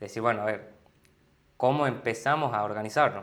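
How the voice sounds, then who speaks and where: A man's voice with ordinary pitch variation. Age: 20s. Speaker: business partner at a family internet company. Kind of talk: interview answer.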